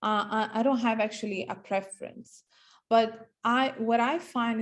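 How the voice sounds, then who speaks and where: At a fairly slow pace, a woman of medium pitch speaks with a non-native accent. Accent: foreign, non-Australian. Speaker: property agent. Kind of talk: presentation. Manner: halting.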